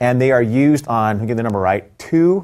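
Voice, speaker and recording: On a very clean recording with a silent background, a man uses a normal speaking voice, medium pitch, lively intonation and a moderate pace. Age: 50s. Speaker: tech executive. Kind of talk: casual chat with product demos. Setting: studio.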